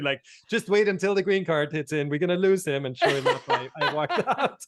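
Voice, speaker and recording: Here is a man with an Austrian accent. He talks at a fairly quick pace. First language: German. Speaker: brand consultant. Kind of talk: podcast interview. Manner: repetitive, halting starts.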